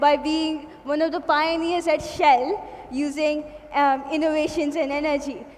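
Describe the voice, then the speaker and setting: Amid noticeable background noise and audible room echo, a woman speaks at a high pitch. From India. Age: young. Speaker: student innovator and interviewer. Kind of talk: stage presentation and interview. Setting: stage with audience.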